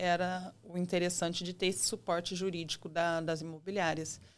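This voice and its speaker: A woman at medium pitch speaks in a São Paulo interior accent with monotone, flat intonation on a very clean recording with a silent background. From interior of São Paulo state, Brazil. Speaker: real estate agent. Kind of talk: podcast interview. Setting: studio. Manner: hesitant, with many fillers.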